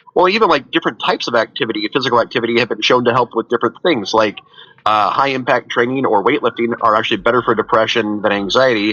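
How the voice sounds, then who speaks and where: A man at medium pitch talking at a very fast pace over noticeable background noise. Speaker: therapist. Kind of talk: casual chat.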